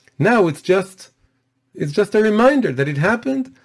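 Talking at a fairly quick pace, a man's voice makes very wide pitch swings. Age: 40s. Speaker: Torah teacher. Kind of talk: lecture.

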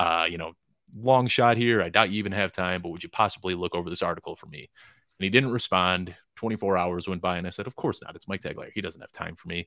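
In an American accent, a man with a very deep, low pitch and a bright, sharp tone talks at a very fast pace with big swings in loudness and ordinary pitch variation, on a very clean recording with a silent background and a dry, close sound with no echo. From Chicago. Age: 30s. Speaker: fantasy football content creator. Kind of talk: casual interview.

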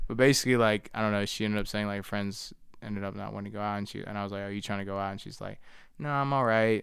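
Talking at a very fast pace, a man has an American accent. His pitch is fairly low and his intonation fairly even. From Charlotte area, North Carolina (Harrisburg suburbs). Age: 20s. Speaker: rapper. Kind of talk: casual chat.

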